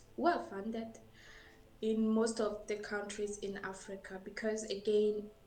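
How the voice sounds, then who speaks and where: A woman's fairly high voice, monotone and flat in intonation, at a fairly slow pace, with audible room echo and noticeable background noise. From Burundi. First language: French. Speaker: scientist. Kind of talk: interview. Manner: halting.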